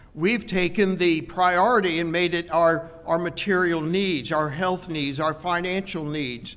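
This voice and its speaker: At a fairly slow pace, the man talks in a high pitch. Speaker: preacher. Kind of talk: sermon. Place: church. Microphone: headset.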